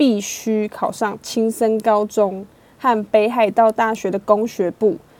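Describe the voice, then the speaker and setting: A woman's fairly high-pitched voice. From Taiwan. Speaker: podcast host. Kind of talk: true crime storytelling; casual chat. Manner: animated.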